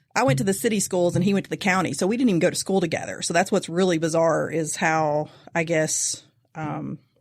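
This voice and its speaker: In a Kentucky accent, a woman speaks at a very fast pace with fairly low pitch and ordinary pitch variation, on a very clean recording with a silent background. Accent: Kentucky country. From eastern Kentucky. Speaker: host's wife. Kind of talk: casual chat.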